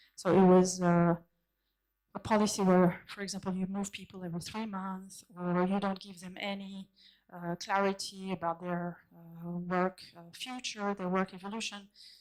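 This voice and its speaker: A woman with a French accent speaks at medium pitch with monotone, flat intonation and big swings in loudness. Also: moderate pace. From France. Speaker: conference keynote speaker, consultant. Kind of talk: conference keynote talk. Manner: halting, many fillers and restarts.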